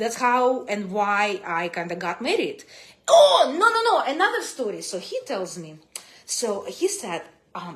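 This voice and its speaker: Speaking at a fairly slow pace in a Russian accent, a woman uses an animated tone with big swings in loudness. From Russia (Soviet Union). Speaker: vlogger sharing life story. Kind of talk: casual livestream storytelling. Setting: live stream from home.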